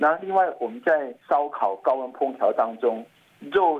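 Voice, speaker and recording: He has a normal speaking voice and ordinary pitch variation. The man keeps a moderate pace. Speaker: physician, toxicology expert. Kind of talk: health interview.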